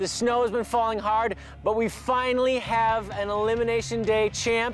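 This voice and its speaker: Music plays in the background as a man speaks in an extremely high pitch. His tone is upbeat and energetic, though his pace is fairly slow. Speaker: TV game show host. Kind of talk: TV sports game show hosting. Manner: upbeat, energetic.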